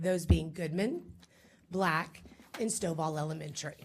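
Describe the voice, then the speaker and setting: A woman with an American accent speaks with vocal fry and ordinary pitch variation. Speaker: school district administrator. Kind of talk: briefing presentation to a school board.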